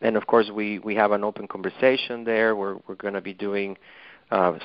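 Here a man with a Mexican accent speaks at a fairly low pitch. His pace is moderate and his intonation monotone and flat. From Mexico City. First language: Spanish. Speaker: author and dentist. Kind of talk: interview. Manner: halting, hesitant.

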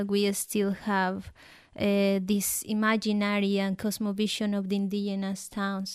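The speaker has a Colombian accent, and the recording is very clean with a silent background. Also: woman. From Colombia, Nariño. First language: Spanish. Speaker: guest from abroad. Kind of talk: casual interview.

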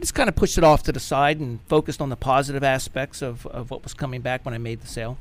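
A man with an American accent and a medium pitch speaks at a very fast pace with hardly any pauses, his intonation fairly even but his loudness swinging widely. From West Virginia (Clarksburg). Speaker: IT company president. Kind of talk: radio interview.

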